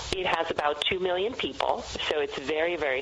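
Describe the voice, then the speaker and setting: Noticeable background noise sits under a woman who talks fairly quickly. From Macedonia. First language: Macedonian. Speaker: wine educator and author. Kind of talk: radio interview.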